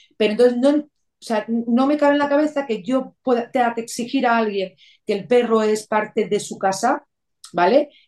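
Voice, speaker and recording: A woman speaks with an ordinary speaking voice at a fairly high pitch. Her pace is moderate and her pitch varies in an ordinary way. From Venezuela (Caracas). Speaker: rural holiday apartment owner. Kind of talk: interview.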